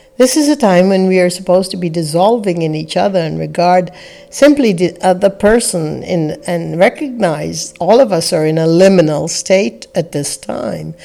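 A woman's fairly low voice with lively intonation, a moderate pace, hardly any pauses and noticeable background noise. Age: 60s. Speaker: spiritual teacher and podcast host. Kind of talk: reflective spiritual talk.

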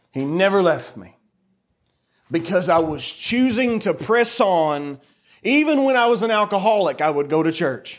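Loud and animated in tone, a man speaks with an American accent at high pitch. His pitch swings very widely at a moderate pace. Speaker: preacher. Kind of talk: sermon. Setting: church.

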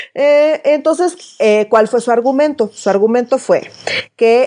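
With a Mexican accent, a woman talks at a fairly slow pace using lively intonation. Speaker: political podcast host. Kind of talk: casual chat.

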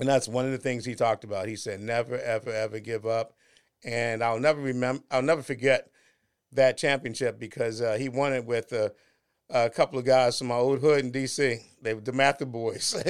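On a very clean recording with a silent background, a man with an American accent talks fairly quickly at a medium pitch with fairly even intonation. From Washington, D.C. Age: 60s. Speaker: podcast host, entrepreneur and author. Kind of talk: casual interview chat. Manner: halting, many fillers.

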